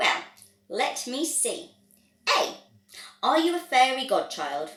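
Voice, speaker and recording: A woman puts on a character voice pitched high. She speaks at a fairly slow pace. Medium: read story. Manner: brisk, testy.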